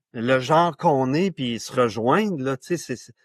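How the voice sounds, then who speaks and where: Lively intonation from a man at medium pitch, with a dry, close sound with no echo and a quiet background. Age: 60s. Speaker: author and men's issues pioneer. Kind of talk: podcast interview.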